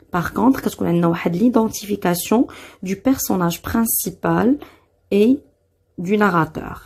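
Speaking with a Moroccan accent, a woman uses lively intonation at medium pitch and a moderate pace, with vocal fry. The recording is very clean, with a silent background. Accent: Moroccan Darija. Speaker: French teacher. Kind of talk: tutorial.

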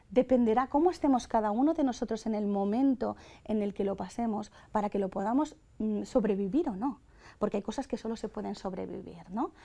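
A woman speaks at a fairly quick pace in a fairly high pitch, her tone dark and mellow. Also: ordinary pitch variation. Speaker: funeral services professional. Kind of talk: panel debate. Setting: studio. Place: studio. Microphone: lapel.

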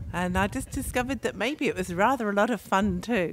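With an English accent, a woman talks at a moderate pace with lively intonation over light background noise. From England, London. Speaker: mayor. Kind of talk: opening speech. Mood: warm, upbeat. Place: tent. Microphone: handheld.

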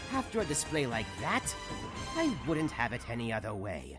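A man doing a raspy, put-on character voice at medium pitch and moderate pace, with faint music in the background. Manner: mocking, theatrical.

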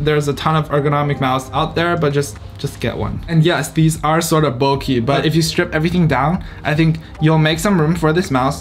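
A man talks at a fairly quick pace with ordinary pitch variation while faint music plays in the background. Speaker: student vlogger. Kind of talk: casual vlog chat. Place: home room.

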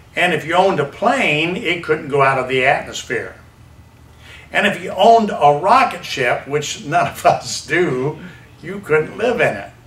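A man speaks at a high pitch and a fairly slow pace, with lively intonation. Light background noise and audible room echo surround him. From US South. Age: 70s. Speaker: evangelist preacher; preacher. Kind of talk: sermon. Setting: church. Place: church.

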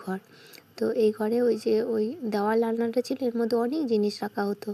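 The recording is dry and close with no echo, carrying a woman's fairly high voice in flat, monotone intonation. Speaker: vlogger. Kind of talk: vlog narration.

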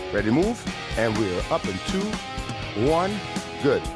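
Clear music plays in the background as a man talks at a fairly slow pace, the sound dry with no echo. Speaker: fitness instructor. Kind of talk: workout instruction cues. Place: studio.

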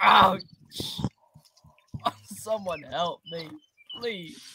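A put-on character voice, female-sounding and raspy, sits at a medium pitch for a woman. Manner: panicked, pleading.

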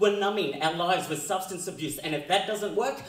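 A man speaks at a high pitch with ordinary pitch variation. Audible room echo surrounds his voice. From Australia. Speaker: slam poet. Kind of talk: live slam poetry performance. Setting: live stage, audience. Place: stage.

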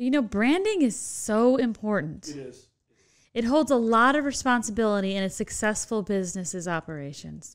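Animated and with very wide pitch swings, a woman speaks at a fairly high pitch and a moderate pace over a quiet background. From Chicago, Illinois. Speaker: podcast host. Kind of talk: podcast interview. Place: studio. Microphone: studio mic.

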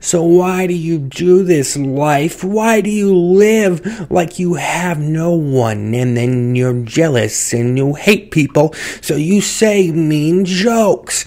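A cartoonish character voice speaks at a middle pitch and a very slow pace. There are hardly any pauses, with light background noise behind it. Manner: earnest, lecturing, slightly stilted.

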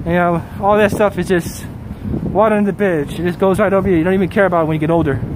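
Speaking at a very fast pace, a man with a high pitch keeps fairly even intonation and very even loudness, the sound dry with no echo but noticeable background noise. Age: 40s. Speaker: travel live streamer. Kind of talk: casual live stream commentary reading chat. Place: street. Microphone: phone near.

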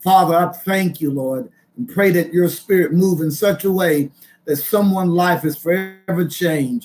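This man's pitch is high, with ordinary variation. He talks at a fairly slow pace. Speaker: minister. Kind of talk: prayer and sermon. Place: home room. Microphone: webcam.

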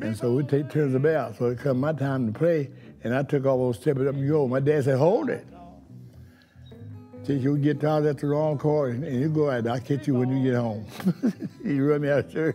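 A man with a Southern US accent speaks at a moderate pace, his pitch fairly high and his intonation fairly even. He leaves long, frequent pauses while faint music plays in the background. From Western North Carolina. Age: 80s+. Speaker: blues musician. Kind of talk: interview answer. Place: bar.

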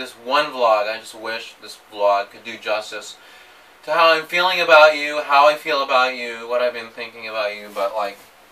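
Pitch rises and falls by an ordinary amount. A man delivers the words at a moderate speed. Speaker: vlogger. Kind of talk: emotional personal vlog message. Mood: emotional, hesitant, nervous laughs. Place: empty room. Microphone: camera far.

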